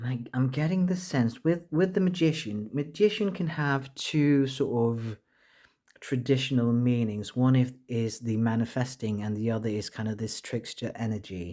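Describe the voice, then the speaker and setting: Delivered at a moderate pace, the voice has lively intonation and a dark, mellow tone. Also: man, medium pitch for a man, very clean recording, silent background. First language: not English. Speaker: tarot reader. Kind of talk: tarot reading monologue. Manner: halting, frequent self-corrections.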